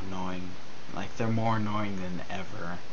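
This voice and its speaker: The speaker goes at a fairly slow pace over noticeable background noise. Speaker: gamer vlogger. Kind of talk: let's play game commentary. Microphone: webcam.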